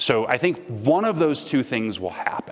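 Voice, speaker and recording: Noticeable background noise is present. A man talks through it. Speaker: guest speaker. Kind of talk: lecture Q&A. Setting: stage with audience.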